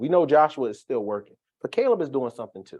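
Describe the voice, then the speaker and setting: In an American accent, a man talks at a very fast pace with an animated tone and fairly high pitch over a quiet background. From Philadelphia, US. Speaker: Bible study teacher. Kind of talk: Bible study teaching. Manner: animated, repetitive stammering.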